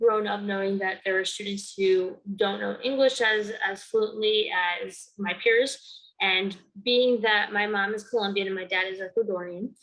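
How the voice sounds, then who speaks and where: A woman's medium-pitched voice, fairly slow and monotone with flat intonation. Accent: American. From Connecticut, East Haven. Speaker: student and community organizer. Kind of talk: interview testimony. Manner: hesitant with frequent fillers.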